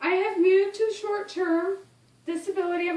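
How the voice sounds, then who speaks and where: Someone with an American accent talks at a moderate pace, with audible room echo around the voice. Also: woman. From Ohio, US Midwest. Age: 20s. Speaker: college student. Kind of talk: class speech.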